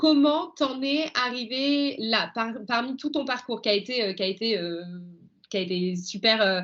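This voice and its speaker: Against a quiet background, a woman with a fairly high voice speaks at a fairly slow pace with lively intonation. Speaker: podcast host. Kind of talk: podcast interview. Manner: enthusiastic.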